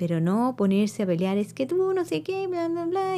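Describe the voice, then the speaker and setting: A woman's high-pitched voice with a dark, mellow tone at a moderate pace. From Chile. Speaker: spiritual podcast host. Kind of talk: solo monologue podcast. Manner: conversational, with many fillers and hesitations.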